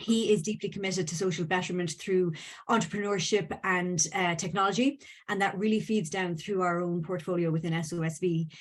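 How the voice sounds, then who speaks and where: She talks in an Irish accent at a moderate pace. Her pitch is medium for a woman and her intonation fairly even. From Ireland. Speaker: venture capital firm legal counsel, panelist. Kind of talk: panel discussion. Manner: hesitant, many fillers.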